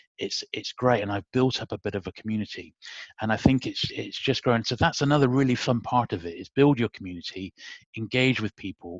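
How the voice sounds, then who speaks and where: Speaking at a fairly quick pace, a man with a British accent has a medium pitch and ordinary pitch variation. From UK. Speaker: YouTuber. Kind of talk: casual interview chat. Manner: soft-spoken.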